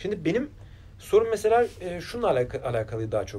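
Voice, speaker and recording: The man's tone is dark and mellow. He talks at a very fast pace with very wide pitch swings. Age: 40s. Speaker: interviewer. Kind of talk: interview. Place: studio.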